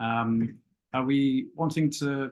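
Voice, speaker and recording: In a New Zealand accent, a man talks at a medium pitch with fairly even intonation. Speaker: property sourcing agent. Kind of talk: casual interview on a live web show. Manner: hesitant, many fillers.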